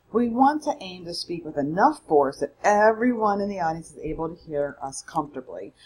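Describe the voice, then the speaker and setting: A woman at a medium pitch speaks with very wide pitch swings. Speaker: college public speaking instructor. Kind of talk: recorded lecture. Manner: fast; loud.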